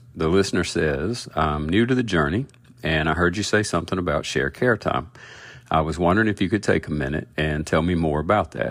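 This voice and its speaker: Talking at a fairly quick pace, a man with an American accent has a very deep, low pitch. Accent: Southern US accent, toned down. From US South. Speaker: podcast host, agile product coach. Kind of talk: podcast monologue.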